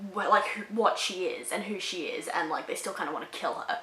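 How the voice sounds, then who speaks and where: A woman with an Australian accent speaks in an animated tone at a medium pitch. There is noticeable background noise and audible room echo. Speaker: book reviewer. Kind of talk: casual review.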